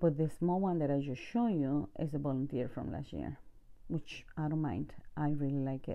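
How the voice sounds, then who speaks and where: With a non-native accent, a woman speaks at a moderate pace, her very deep, low voice rising and falling with lively intonation. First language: not English. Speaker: home gardener, video creator. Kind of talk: garden tour walkthrough. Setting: outdoors in garden. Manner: casual, with hesitations.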